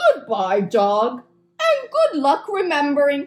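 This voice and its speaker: Pitched high in a cartoonish character voice, the speaker goes at a fairly slow pace. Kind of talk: children's puppet show.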